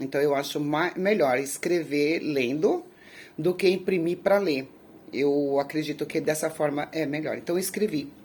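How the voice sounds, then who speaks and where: A woman talks fairly slowly at a very deep, low pitch, her pitch variation ordinary. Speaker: youtuber telling viewers' life stories. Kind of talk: casual address to viewers. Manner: halting, with repetitions.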